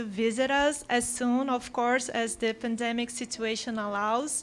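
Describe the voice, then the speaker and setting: In a Portuguese accent, a woman speaks at a fairly slow pace and a high pitch. The recording is very clean, with a silent background. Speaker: panel facilitator. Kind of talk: panel moderation. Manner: formal.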